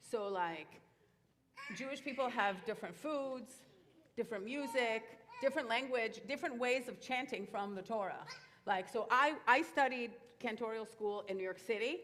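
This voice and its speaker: A woman with a French accent talks at a moderate pace, leaving long, frequent pauses. Her pitch is fairly high with ordinary variation, and room echo is audible. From Israel, Moroccan-Tunisian immigrant family. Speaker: cantor. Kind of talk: Q&A talk to children and families. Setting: synagogue. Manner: casual, animated.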